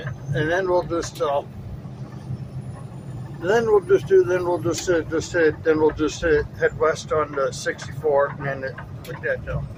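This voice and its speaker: Amid noticeable background noise, a man with a fairly high pitch talks at a fairly slow pace, leaving long, frequent pauses. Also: ordinary pitch variation. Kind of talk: casual talk in a truck cab. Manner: stutters.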